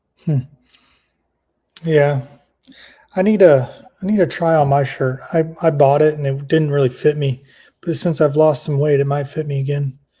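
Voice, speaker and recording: A man with a fairly high pitch and a dark, mellow tone speaks at a moderate pace, somewhat breathy and with fairly even intonation. Long, frequent pauses break up his speech. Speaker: crypto show co-host. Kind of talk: casual chat. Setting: live stream. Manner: stumbling over words.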